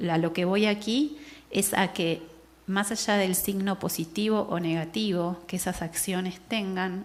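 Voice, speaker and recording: With a non-native accent, a woman speaks fairly slowly at a medium pitch, with ordinary pitch variation. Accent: foreign Spanish. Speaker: anthropologist. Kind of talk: lecture.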